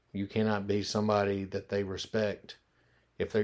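Against a quiet background, a man with a Memphis accent talks in a fairly low pitch with monotone, flat intonation. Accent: Southern US (Memphis). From US South, Memphis, Tennessee. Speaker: restaurant owner. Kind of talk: interview.

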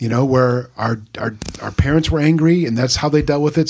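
Fairly high in pitch, a man talks at a moderate pace with ordinary pitch variation in an unremarkable speaking voice. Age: 50s. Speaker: pastor. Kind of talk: casual chat.

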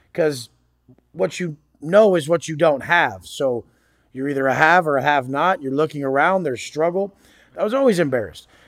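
At a moderate pace, a man speaks with fairly high pitch. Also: ordinary pitch variation. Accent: American. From Southern California (Oceanside, San Diego area). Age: 30s. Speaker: motivational coach, former prisoner. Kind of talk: interview conversation.

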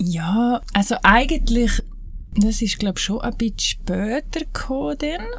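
In a Graubünden accent, a woman speaks at a moderate pace with a fairly high pitch and lively intonation. The room echo is audible, and there's noticeable background noise. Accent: Graubünden Swiss German dialect. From Switzerland, Graubünden (Heinzenberg). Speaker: natural cosmetics maker. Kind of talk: casual interview.

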